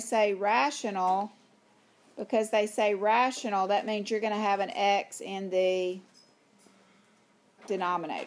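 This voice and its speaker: Speaking in a Southern US accent at a moderate pace, a woman keeps a medium pitch. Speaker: high school math teacher. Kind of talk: lecture.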